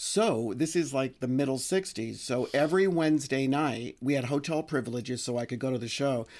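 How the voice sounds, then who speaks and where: Delivered at a fairly quick pace with hardly any pauses and ordinary pitch variation, a plain, everyday voice comes through on a very clean recording with a silent background. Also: man, medium pitch for a man. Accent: American. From New York, the Bronx. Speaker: music publicist. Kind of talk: casual chat. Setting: at the host's home.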